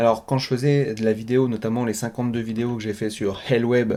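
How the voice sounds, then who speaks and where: This man speaks fairly quickly at a medium pitch with a dark, mellow tone. His intonation stays fairly even. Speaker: web marketing trainer and podcaster. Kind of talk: casual solo podcast monologue. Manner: hesitant, stumbles over words.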